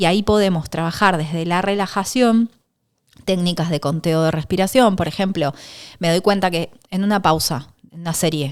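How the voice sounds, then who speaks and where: The voice shows ordinary pitch variation. The recording is very clean, with a silent background. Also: woman, fairly low pitch for a woman. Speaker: sports psychologist. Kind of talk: interview. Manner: fast.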